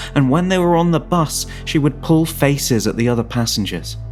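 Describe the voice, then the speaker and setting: A man's voice with music in the background. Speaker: narrator. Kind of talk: fiction story narration.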